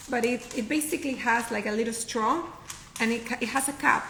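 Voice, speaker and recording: In a Spanish accent, the speaker goes at a fairly quick pace, with noticeable background noise and audible room echo. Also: woman. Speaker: professional packer. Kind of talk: casual interview.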